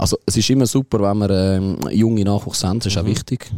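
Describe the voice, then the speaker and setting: A voice with ordinary pitch variation, recorded dry and close with no echo. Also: man. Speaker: football fan leader. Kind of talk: casual chat.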